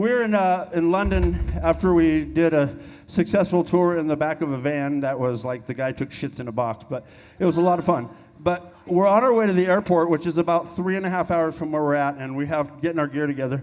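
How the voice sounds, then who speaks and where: A man with a fairly high pitch and ordinary pitch variation talks fairly quickly. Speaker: rock band member. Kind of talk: on-stage storytelling. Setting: stage with audience.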